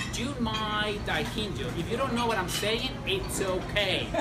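Loud noise fills the background. A man talks at a very slow pace. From Chile. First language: Spanish. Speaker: sommelier. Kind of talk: cocktail-making tutorial. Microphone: lapel.

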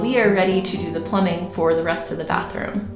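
Clear music plays behind a woman who talks at a fairly quick pace with ordinary pitch variation. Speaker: home renovation vlogger. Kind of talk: casual vlog chat. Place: bathroom. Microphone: phone near.

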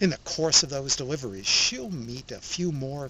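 Moderate pace over loud background noise, with a dry sound and no echo. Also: man. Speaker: film reviewer. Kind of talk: commentary. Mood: calm, warm. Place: forest. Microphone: phone near.

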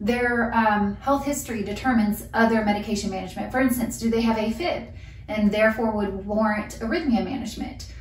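Audible room echo and light background noise surround the speaker. She is a woman talking at a moderate pace. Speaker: nurse educator. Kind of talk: lecture. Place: home room. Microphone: camera far.

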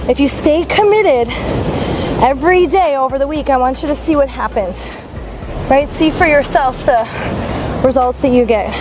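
A woman with a high pitch speaks at a moderate pace, leaving long, frequent pauses. Music plays in the background, and the sound is dry with no echo. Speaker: fitness instructor. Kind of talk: workout coaching. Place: beach.

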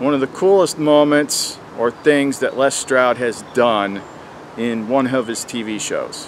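At a very slow pace, a man speaks with ordinary pitch variation in a dry sound with no echo, over light background noise. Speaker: outdoor gear reviewer. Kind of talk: casual vlog chat. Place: forest.

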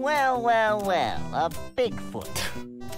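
Faint music plays behind a man doing a put-on character voice, pitched fairly high and swinging very widely in pitch. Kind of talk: scripted game dialogue. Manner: mocking. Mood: smug, mocking.

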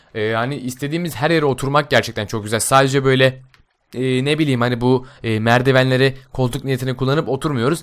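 A man speaks at a medium pitch in an ordinary speaking voice. His pace is fairly quick and his intonation fairly even. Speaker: gaming YouTuber. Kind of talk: game mod tutorial. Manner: casual, many filler sounds.

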